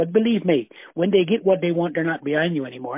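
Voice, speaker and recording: A man speaks at a very fast pace in a Newfoundland accent. His pitch is high, with ordinary variation. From Newfoundland, Flat Bay. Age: 70s. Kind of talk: interview. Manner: halting.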